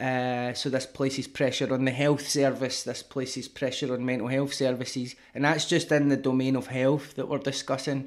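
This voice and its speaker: A man speaks with a Glasgow accent at a medium pitch, in a monotone with flat intonation. His pace is moderate with hardly any pauses, and the recording is very clean over a silent background. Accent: Scottish (Glasgow). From Scotland. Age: 30s. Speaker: rapper and author. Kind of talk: casual interview.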